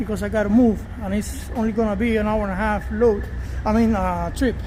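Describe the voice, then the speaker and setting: Noticeable background noise and audible room echo fill the space. A man talks fairly quickly within it. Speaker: truck driver. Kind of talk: tutorial. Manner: fast; halting.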